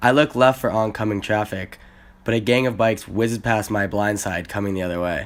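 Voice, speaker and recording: A man with an American accent talks in an ordinary speaking voice at a fairly quick pace. His pitch is fairly low and his intonation fairly even. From US Midwest, Chicago. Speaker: exchange student. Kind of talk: scripted narration.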